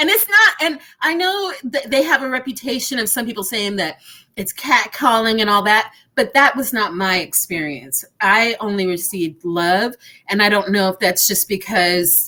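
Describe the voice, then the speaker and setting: A woman with a Texan accent, fairly high-pitched and bright and sharp, lively in intonation at a moderate pace. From Texas. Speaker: entrepreneur panelist. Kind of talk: panel discussion.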